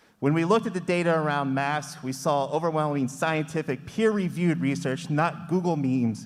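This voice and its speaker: A loud man's voice, fairly high in pitch, with ordinary pitch variation and hardly any pauses. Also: fairly quick pace. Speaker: parent speaking at public comment. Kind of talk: public comment at school board meeting. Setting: public meeting with microphone.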